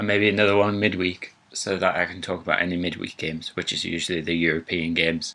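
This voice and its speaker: A very deep, low male voice with a Geordie accent, bright and sharp in tone, monotone and flat, at a very fast pace. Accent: Geordie (Newcastle). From northern England, Newcastle. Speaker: gaming YouTuber. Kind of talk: casual let's play intro.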